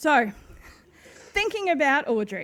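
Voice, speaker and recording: A woman speaks with an Australian accent. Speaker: waste management consultant. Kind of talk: conference presentation. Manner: fast.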